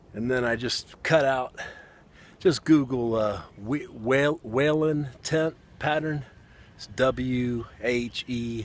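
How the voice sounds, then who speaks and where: A man's medium-pitched voice in a Southern US accent, very slow pace, ordinary pitch variation and big swings in loudness. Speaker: outdoorsman, bushcraft hobbyist. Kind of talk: casual talk to camera.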